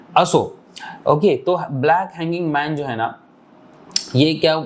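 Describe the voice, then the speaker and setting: A man speaks with ordinary pitch variation. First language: Marathi (speaking Hindi). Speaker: trading teacher. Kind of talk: tutorial. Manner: casual, conversational with fillers.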